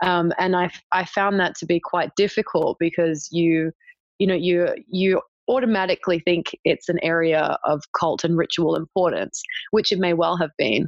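With an Australian accent, the speaker keeps a moderate pace and fairly even intonation. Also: woman, fairly low pitch for a woman. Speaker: archaeology PhD student. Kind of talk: interview. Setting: remote call.

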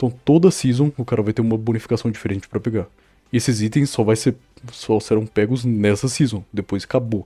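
At a fairly quick pace, a man speaks at medium pitch with ordinary pitch variation and a dark, mellow tone. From Belo Horizonte, Brazil. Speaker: podcast co-host, game server developer. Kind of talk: casual chat.

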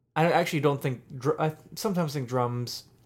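A plain, everyday voice from a man with an American accent, at a moderate pace with ordinary pitch variation. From US, Pittsburgh. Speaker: podcast co-host, music and beer reviewer. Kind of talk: casual chat.

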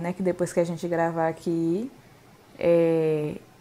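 A woman's tone comes across dark and mellow. Her intonation is monotone and flat. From Brazil, Bahia. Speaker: podcast co-host, English teacher. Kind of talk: casual chat.

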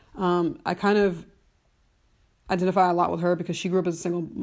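A woman speaks with a fairly low pitch. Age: 30s. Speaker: solo podcast host. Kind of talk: casual solo monologue. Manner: rambling with many fillers.

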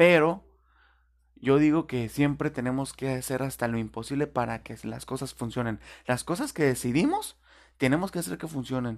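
Ordinary pitch variation colors a man's medium-pitched speech, which moves at a moderate pace. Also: very clean recording, silent background. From Tijuana, Baja California, Mexico. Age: 20s. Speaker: podcaster. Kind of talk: casual monologue. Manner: hesitant, with fillers.

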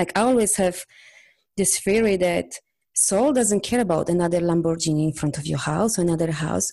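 A woman speaks with a Polish accent. Her tone is dark and mellow, with ordinary pitch variation. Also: fairly low pitch for a woman, moderate pace, quiet background. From Poland. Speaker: energy healer and coach. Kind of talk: interview.

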